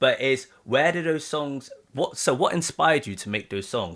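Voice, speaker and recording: Bright and sharp in tone, a man speaks with an English accent in a very clean recording with a silent background. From UK. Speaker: reaction channel host, interviewer. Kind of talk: interview. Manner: halting, many fillers.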